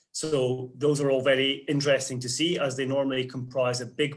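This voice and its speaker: A man talks fairly quickly with a Scottish accent, his pitch medium. His intonation stays flat and monotone. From Scotland. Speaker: investment portfolio manager. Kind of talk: interview.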